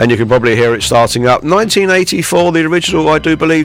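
Over noticeable background noise, a man talks at a fairly quick pace and fairly high pitch, his voice making very wide pitch swings. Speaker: radio presenter. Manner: upbeat, jovial and breezy, with chuckling 'hoo hoo hoo' festive cheer.

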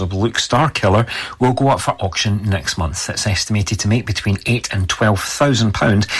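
Here a man talks in a fairly low, somewhat breathy voice. He speaks with a Scottish accent. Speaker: radio newsreader. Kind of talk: brisk local-radio weather report, read from a script. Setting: radio studio. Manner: steady, even newsreader pacing; occasional stumbles, corrects himself mid-sentence.

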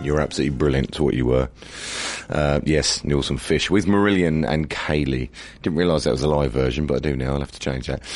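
Over noticeable background noise, a man with a very deep, low pitch talks at a very fast pace with ordinary pitch variation. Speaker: radio host. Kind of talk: radio DJ links. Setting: radio studio. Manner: casual.

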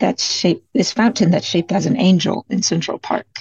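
A woman's somewhat breathy voice at medium pitch with an American accent, a moderate pace, and ordinary pitch variation. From US, Detroit. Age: 20s. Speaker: singer-songwriter. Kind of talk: interview.

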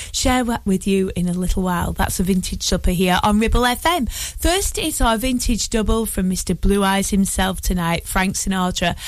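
With a plain, everyday voice, a woman talks at a moderate pace in a medium pitch with ordinary pitch variation, hardly any pauses and very even loudness. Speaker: radio presenter. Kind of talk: radio show presenting, music programme. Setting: radio studio. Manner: warm, chatty, playful; relaxed, cosy, laughing.

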